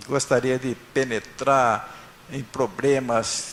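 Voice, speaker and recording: Noticeable background noise runs behind a man speaking at a medium pitch. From northern Paraná, Brazil. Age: 70s. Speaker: honoree. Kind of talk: acceptance speech. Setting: city council chamber with audience. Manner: halting.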